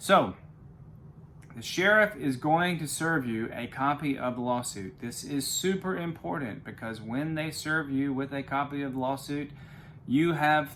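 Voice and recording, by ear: A man's fairly bright tone at a fairly slow pace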